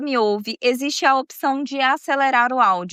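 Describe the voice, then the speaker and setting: A woman's raised, projected voice, high in pitch, sounds bright and sharp yet warm in tone, moving at a moderate pace in a dry, close recording with no echo. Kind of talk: storytelling podcast narration. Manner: casual, warm, chatty.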